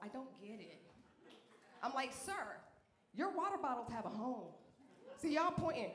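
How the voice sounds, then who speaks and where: A woman with a slight Southern US accent speaks at a moderate pace with very wide pitch swings, over noticeable background noise and audible room echo. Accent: slight Southern twang. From Alabama. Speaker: comedian. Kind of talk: stand-up. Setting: stage with audience. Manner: animated.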